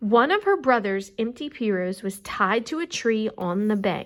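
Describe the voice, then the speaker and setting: An ordinary speaking voice from a woman, fairly high in pitch, with lively intonation, a fairly slow pace and a very clean recording over a silent background. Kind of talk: storybook read-aloud.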